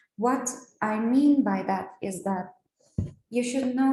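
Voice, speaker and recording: At a very slow pace, a woman with a Turkish accent speaks in a fairly high pitch with ordinary pitch variation. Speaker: trainer. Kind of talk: training lecture. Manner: hesitant, many fillers.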